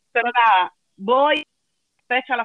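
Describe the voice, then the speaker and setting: With a Cuban accent, a woman speaks at a fairly slow pace. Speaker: philologist, travel company employee. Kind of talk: casual interview, storytelling. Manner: animated.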